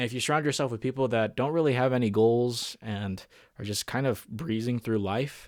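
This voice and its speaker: On a very clean recording with a silent background, a man uses a plain, everyday voice at a fairly quick pace, medium in pitch with ordinary pitch variation. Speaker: podcast host. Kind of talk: solo podcast monologue. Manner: casual, filler-heavy.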